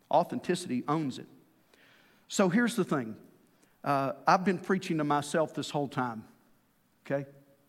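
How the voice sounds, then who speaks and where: On a very clean recording with a silent background, a man speaks at a moderate pace with a fairly high pitch, lively intonation and long, frequent pauses. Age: 50s. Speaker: pastor. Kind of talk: sermon. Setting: church.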